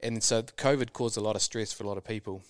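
A man with a New Zealand accent talks very fast at a fairly low pitch, captured in a very clean recording with a silent background. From New Zealand, rural. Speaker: super yacht crew member. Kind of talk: interview. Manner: halting, many fillers.

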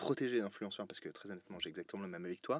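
A man with lively intonation. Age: 30s. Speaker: podcast host. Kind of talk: casual interview. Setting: TV channel studio.

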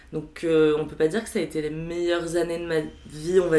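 A woman uses a plain, everyday voice at fairly low pitch and a moderate pace. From Paris, France. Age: 20s. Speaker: HR worker. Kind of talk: casual chat.

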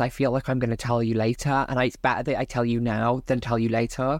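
A woman speaks very fast with a Welsh accent. Her pitch is very deep and low, and her intonation stays fairly even. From South Wales (Barry). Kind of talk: casual interview chat.

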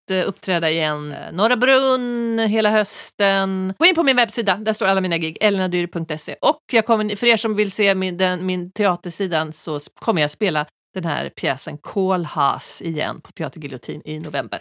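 A woman with a plain, everyday voice speaks at a medium pitch and moderate pace, with lively intonation and big swings in loudness. The recording is very clean and dry, close with no echo and a silent background. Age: 40s. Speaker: podcast host, comedian. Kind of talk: casual chat.

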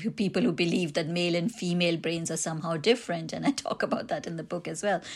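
A woman talks with an Indian accent against a quiet background. Her pitch is medium, with ordinary pitch variation. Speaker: author and academic. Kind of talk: interview. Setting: remote recording.

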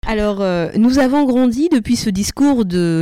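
Speaking at a very slow pace, a woman uses a fairly high pitch, a dark, mellow tone and lively intonation, recorded with a dry, close sound and no echo. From Normandy, France (born Madagascar). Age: 30s. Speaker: podcast co-host, mother. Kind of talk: semi-scripted podcast talk.

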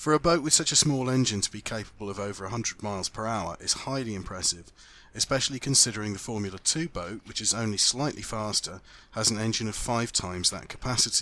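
With a British accent, a man speaks very fast at a medium pitch in a bright, sharp tone, his pitch varying in an ordinary way on a very clean recording with a silent background. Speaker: motorsport podcast host. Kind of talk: scripted narration and field interviews. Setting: outdoors at a lakeside event.

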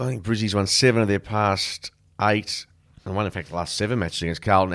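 A man with an Australian accent at a very fast pace, with ordinary pitch variation, on a very clean recording with a silent background. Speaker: podcast host, footy commentator. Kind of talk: casual chat about AFL. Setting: studio. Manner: laid-back, jokey.

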